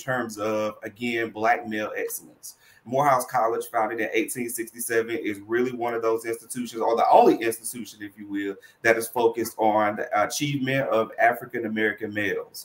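With hardly any pauses, a man talks fairly quickly in a monotone, flat intonation. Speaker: college student financial services administrator. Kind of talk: online panel interview. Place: home room.

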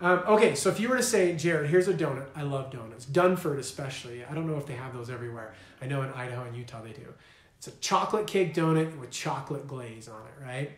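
Over noticeable background noise, a man speaks very fast in a fairly high pitch with lively intonation. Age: 30s. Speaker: weight loss coach. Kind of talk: motivational talk to camera. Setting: live video stream with whiteboard. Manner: animated.

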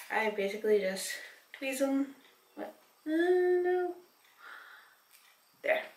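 A very slow voice in audible room echo. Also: woman. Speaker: vlogger. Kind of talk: casual vlog chat. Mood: relaxed, a bit giggly. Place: bathroom. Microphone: camera far.

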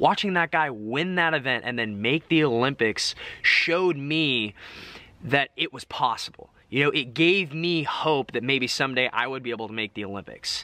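A man's bright, sharp voice moves at a moderate pace with ordinary pitch variation, and the sound is dry with no echo. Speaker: vlogger. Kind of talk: casual vlog chat, Q&A answers. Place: garden. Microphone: phone near.

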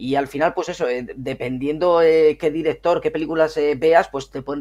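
A man speaks in a normal speaking voice at a fairly high pitch and a fairly quick pace, with ordinary pitch variation. The recording is very clean, with a silent background. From northern Spain, Miranda de Ebro (Burgos). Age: 30s. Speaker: gaming youtuber. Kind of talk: casual interview chat.

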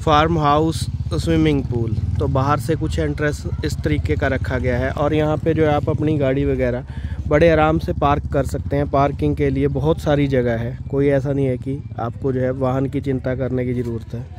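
A man talks at a moderate pace in a medium pitch, with little pitch movement. Background noise is clearly audible.

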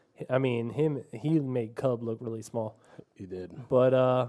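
Over a quiet background, a man with a dark, mellow tone shows big swings in loudness and ordinary pitch variation. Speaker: podcast host. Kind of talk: casual sports chat. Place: studio.

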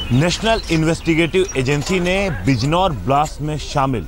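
Clear music plays in the background while a man talks at a fairly slow pace. The sound is dry, with no echo. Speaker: TV field reporter. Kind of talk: news report to camera. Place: street. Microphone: handheld.

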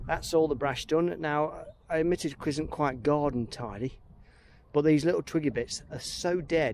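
A man speaks with ordinary pitch variation. The sound is dry with no echo, over light background noise. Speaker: woodland worker vlogger. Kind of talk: casual vlog chat. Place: forest. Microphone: phone near.

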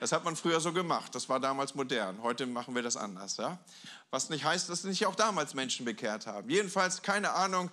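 Vocal fry runs through a man's bright, sharp, fairly high voice as his pitch swings very widely. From Germany, Hamburg; Germany. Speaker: guest pastor; preacher. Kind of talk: sermon. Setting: church with audience. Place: church. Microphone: handheld.

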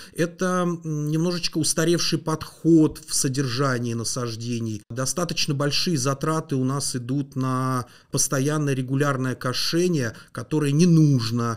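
A man talks at a moderate pace with ordinary pitch variation. The background is quiet. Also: fairly high pitch for a man. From Moscow region, Russia (Mytishchi); Moscow region, Russia. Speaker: landscape engineer; guest. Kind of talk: interview. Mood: calm, explanatory. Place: studio. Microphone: studio mic.

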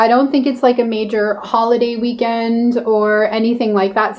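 A woman's voice at a moderate pace. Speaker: travel vlogger. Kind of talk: casual vlog chat. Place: home room. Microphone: phone near.

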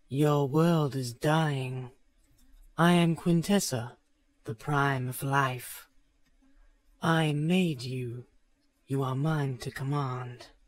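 In a put-on character voice, a man speaks at a fairly high pitch and very slow pace, with long, frequent pauses.

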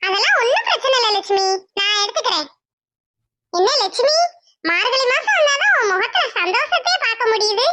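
Putting on a squeaky, cartoonish character voice, a woman speaks at a moderate pace with an extremely high pitch. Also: lively intonation. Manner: easygoing, affectionate.

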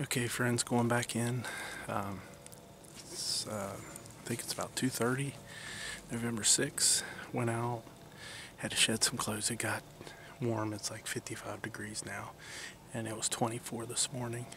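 Over noticeable background noise, a man talks fairly slowly in a flat monotone, leaving long, frequent pauses, with a dry sound and no echo. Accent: American. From West Virginia. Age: 40s. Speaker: deer hunter video blogger. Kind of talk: outdoor hunting vlog narration. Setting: outdoors in the woods. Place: forest. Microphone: phone near.

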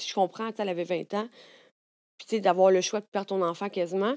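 Against a quiet background, a woman speaks very fast with fairly even intonation. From Quebec. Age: 30s. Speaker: content creator. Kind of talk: casual chat. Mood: candid, emotional personal stories. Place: studio. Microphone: studio mic.

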